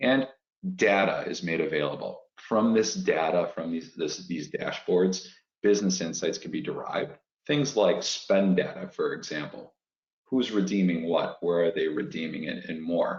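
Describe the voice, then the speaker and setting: The speaker has a Chicago accent. The pace is moderate. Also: man. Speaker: fintech executive. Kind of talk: webinar presentation.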